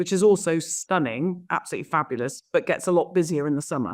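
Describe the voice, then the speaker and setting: A woman with a slight Somerset accent, fairly low in pitch, very fast, with ordinary pitch variation, on a very clean recording with a silent background. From south-west England, Somerset. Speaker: estate agent. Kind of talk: interview. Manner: hesitant, many fillers.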